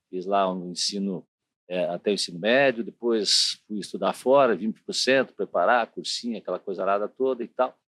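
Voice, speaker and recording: In a dry, close sound with no echo, a man uses an ordinary speaking voice, fairly low in pitch, at a moderate pace and with ordinary pitch variation. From southern Brazil, Curitiba (Paraná). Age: 50s. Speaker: city councillor and TV journalist. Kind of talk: interview. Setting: studio.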